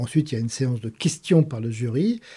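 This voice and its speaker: Over a very clean recording with a silent background, a man talks at medium pitch in a dark, mellow tone that is somewhat breathy, with lively intonation. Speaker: podcast host, mathematician. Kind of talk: casual interview.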